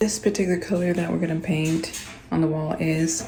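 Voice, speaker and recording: A quiet, whispering woman with audible room echo. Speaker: DIY lifestyle vlogger. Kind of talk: casual vlog narration. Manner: whispering quietly.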